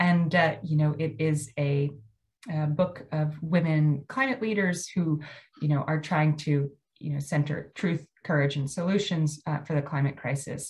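A woman with an American accent speaks at a fairly slow pace in a very deep, low pitch, somewhat breathy, with fairly even intonation. The background is quiet. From US Mid-Atlantic (Maryland). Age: 50. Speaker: landscape architect presenter. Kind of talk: lecture. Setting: video call. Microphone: video call.

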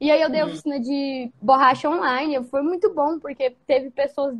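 A woman talks at a moderate pace, her high pitch showing ordinary variation. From Brazil, interior of Goiás. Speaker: visual artist, printmaker. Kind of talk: casual interview. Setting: video call. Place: home room. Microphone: video call.

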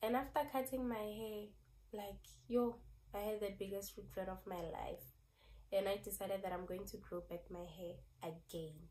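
At a moderate pace, a woman with a dark, mellow tone speaks at medium pitch, somewhat breathy, with ordinary pitch variation. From South Africa. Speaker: beauty vlogger. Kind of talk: casual vlog talk.

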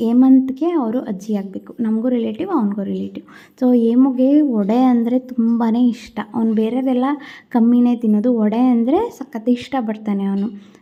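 Her intonation is fairly even. The woman's tone is dark and mellow. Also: fairly high pitch for a woman. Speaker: family vlogger. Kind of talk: vlog voice-over. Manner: loud. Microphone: no external mic, phone recording.

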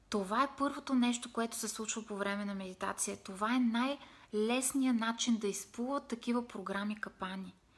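A woman at a fairly high pitch, fairly even in intonation, at a moderate pace. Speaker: meditation and self-help vlogger; self-help vlogger. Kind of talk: motivational live video talk. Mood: calm, warm, expressive. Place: home room. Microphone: phone near.

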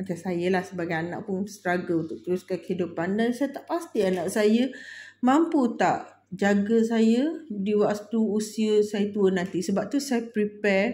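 Somewhat breathy, a woman's voice carries a dark, mellow tone. She moves at a fairly slow pace with ordinary pitch variation. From Malaysia. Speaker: budgeting vlogger. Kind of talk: casual vlog tutorial. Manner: giggly, frequent laughter; halting, many fillers. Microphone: phone near.

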